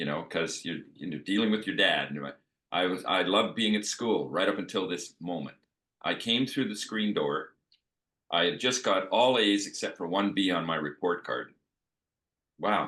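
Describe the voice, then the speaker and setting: This man's voice sits very deep and low. He speaks at a moderate pace with ordinary pitch variation. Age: 70s. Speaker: panel guest on wellness discussion. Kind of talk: casual chat.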